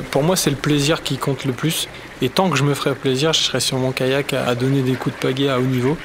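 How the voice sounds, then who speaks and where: A man at medium pitch, fairly quick and fairly even in intonation, against noticeable background noise. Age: 30s. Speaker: olympic kayaker. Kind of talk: documentary interview.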